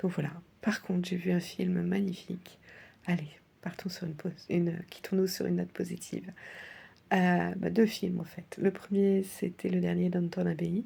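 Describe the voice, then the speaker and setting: A soft-spoken woman talks at a fairly slow pace, leaving long, frequent pauses. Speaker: vlogger. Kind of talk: personal video diary. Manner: hesitant, many fillers; soft, sleepy.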